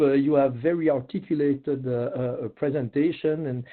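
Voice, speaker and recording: A man with a French accent. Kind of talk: webinar presentation. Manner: halting, many fillers.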